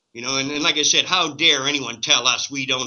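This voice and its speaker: At a moderate pace and medium pitch, a man speaks in a plain, everyday voice. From Canada. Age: 60s. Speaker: cannabis activist. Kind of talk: interview.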